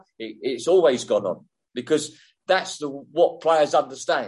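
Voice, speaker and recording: With an English accent, a man talks at a fairly slow pace in a fairly high pitch with ordinary pitch variation. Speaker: former football referee. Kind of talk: casual interview.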